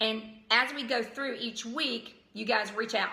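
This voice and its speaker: A woman speaks at a moderate pace with a slight Southern US accent. Audible room echo and noticeable background noise fill the recording. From US South, outside Atlanta, Georgia. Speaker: vlogger and parent advisor. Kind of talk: casual vlog. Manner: hesitant, many ums.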